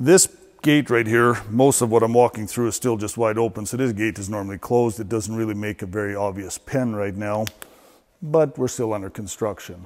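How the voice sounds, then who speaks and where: This is an unremarkable speaking voice, a man's at fairly low pitch. He talks at a fairly quick pace with ordinary pitch variation. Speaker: barn equipment guide. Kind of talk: walk-through tour explanation. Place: farm machine. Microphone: lapel.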